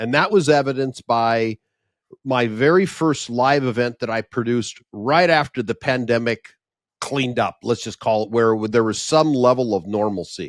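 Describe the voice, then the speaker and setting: A man's normal speaking voice at medium pitch, with ordinary pitch variation and a moderate pace, recorded dry and close with no echo on a very clean track with a silent background. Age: 60s. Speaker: event producer and professional speaker. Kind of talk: podcast interview.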